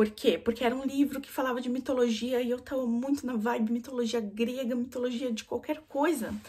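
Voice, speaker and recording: At a fairly quick pace, a woman with a high voice speaks in fairly even intonation. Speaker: book vlogger. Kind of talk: casual book review monologue. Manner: fast.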